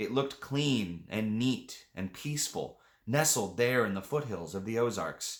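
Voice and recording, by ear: This is reading aloud in a natural voice. The words are read out.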